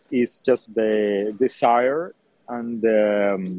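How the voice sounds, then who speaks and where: This is a man speaking with a Spanish accent. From Colombia. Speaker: chef. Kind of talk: interview. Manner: hesitant, many fillers.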